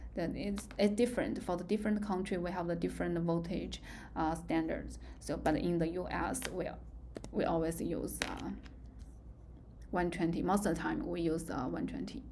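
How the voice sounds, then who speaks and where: A woman speaks with a Chinese accent at a moderate pace, leaving long, frequent pauses. Room echo is audible. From China. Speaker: university lecturer. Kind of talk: lecture. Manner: halting.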